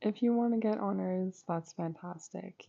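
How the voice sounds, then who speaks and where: A soft-spoken woman talks at a fairly slow pace with a fairly low pitch. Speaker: YouTuber and student. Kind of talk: casual chat.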